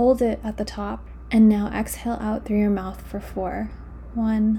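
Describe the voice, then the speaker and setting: A woman speaks at a very slow pace. Her tone is gentle. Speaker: meditation guide podcast host. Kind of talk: guided meditation, calm and soothing, with long pauses and audible breaths. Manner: slow, soft-spoken, gentle and reassuring; deliberately paced with pauses and audible sighs.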